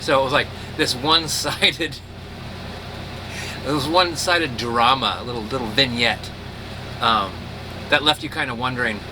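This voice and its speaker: A man talks at a moderate pace with long, frequent pauses. His medium pitch has ordinary variation, and background noise is noticeable. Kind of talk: casual storytelling to camera.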